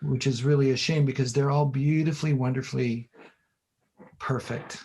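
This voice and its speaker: This man talks in a monotone, flat intonation at a moderate pace, somewhat breathy and with very even loudness. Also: medium pitch for a man. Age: 60s. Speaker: infographics designer and former professor. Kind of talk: casual interview chat. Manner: halting, repetitive.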